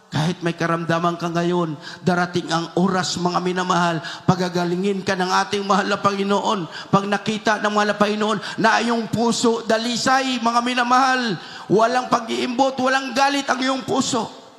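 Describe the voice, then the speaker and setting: Noticeable background noise runs under the speech. A man talks at a high pitch and a moderate pace, with ordinary pitch variation. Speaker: church preacher. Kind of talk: sermon preaching.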